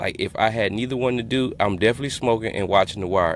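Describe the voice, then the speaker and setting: A man speaks at a very fast pace in a Louisiana accent. His fairly low voice stays fairly even in intonation. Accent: Southern US, Louisiana. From Louisiana (Shreveport). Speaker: podcast host. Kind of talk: casual interview chat.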